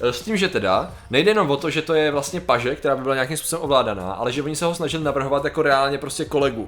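Over noticeable background noise, a man with a fairly high voice talks very fast with hardly any pauses and ordinary pitch variation. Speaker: podcast co-host. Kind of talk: casual chat.

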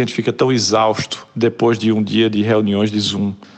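With noticeable background noise behind him, a man in a Pernambuco accent talks at a moderate pace with monotone, flat intonation. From Brazil, Pernambuco (Olinda). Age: 40s. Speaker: advertising creative director and writer. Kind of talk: casual interview.

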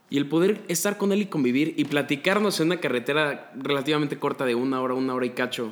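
Speaking at a very fast pace, a man with a fairly high pitch for a man shows ordinary pitch variation and very even loudness. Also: hardly any pauses. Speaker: psychology student. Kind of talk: casual chat.

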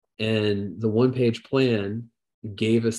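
With an American accent, a man talks in an unremarkable speaking voice, his pitch fairly low with ordinary variation. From southern Indiana, US Midwest. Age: 40s. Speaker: financial planner. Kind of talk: interview.

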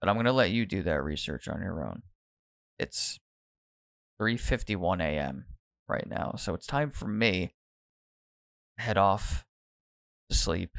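On a very clean recording with a silent background and a dry, close sound with no echo, a man with an American accent speaks at a fairly low pitch, with lively intonation, vocal fry, and long, frequent pauses. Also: fairly slow pace. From United States. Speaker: podcast host. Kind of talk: casual monologue. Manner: off the cuff, halting with restarts.

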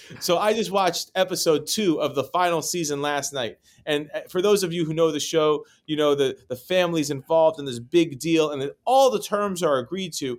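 With a normal speaking voice, a man speaks at a fairly quick pace and fairly high pitch, with ordinary pitch variation, in a very clean recording with a silent background. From New York City. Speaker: real estate broker. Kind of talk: interview.

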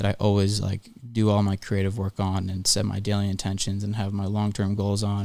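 With an American accent, a man speaks at a fairly quick pace in a fairly low, dark and mellow voice with monotone, flat intonation on a very clean recording with a silent background. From US Northeast, Philadelphia. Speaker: podcast host, talent entrepreneur. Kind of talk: solo monologue podcast. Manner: casual, with frequent fillers.

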